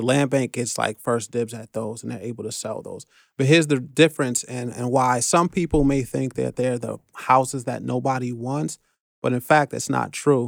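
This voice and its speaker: Here a man speaks with a New York accent at a moderate pace, his pitch medium. The intonation is fairly even, and the sound is dry and close with no echo. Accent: New York City. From New York City, the Bronx. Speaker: real estate investor. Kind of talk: podcast interview.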